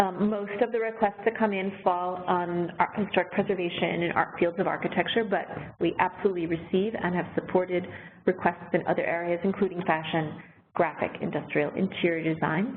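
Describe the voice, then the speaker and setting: In a plain, everyday voice, a woman talks at a fairly quick pace, medium in pitch, with fairly even intonation. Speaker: arts program director hosting a webinar. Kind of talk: webinar Q&A. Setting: online webinar.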